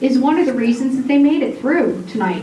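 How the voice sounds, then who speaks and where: A loud, high-pitched woman's voice with audible room echo and noticeable background noise. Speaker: massage therapy program coordinator. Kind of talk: graduation ceremony speech. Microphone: microphone cutting out.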